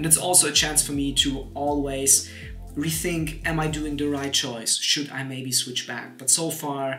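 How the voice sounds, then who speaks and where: A man with a non-native accent at a fairly high pitch and moderate pace, fairly even intonation, and music in the background. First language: Polish. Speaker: YouTuber. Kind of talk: casual talk to camera.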